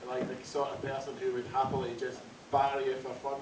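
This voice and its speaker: A man's fairly high-pitched voice amid noticeable background noise and audible room echo. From Scotland, West Highlands. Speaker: comedy MC. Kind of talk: stand-up. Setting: stage with audience.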